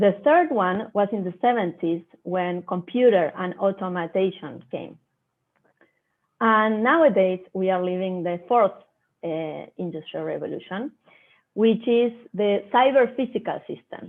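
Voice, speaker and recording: A woman speaks with a Spanish accent. Her pace is fairly slow, with ordinary pitch variation. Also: medium pitch for a woman. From Argentina, Buenos Aires. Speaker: agribusiness innovation professional. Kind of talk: online talk presentation.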